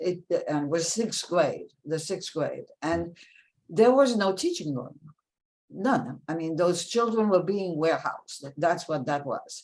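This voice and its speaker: The speaker has a French accent and lively intonation. The pace is fairly slow, with long, frequent pauses. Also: woman, fairly low pitch for a woman. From France, Paris; raised in New York from about age 11. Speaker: author and philanthropy professional. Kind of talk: interview.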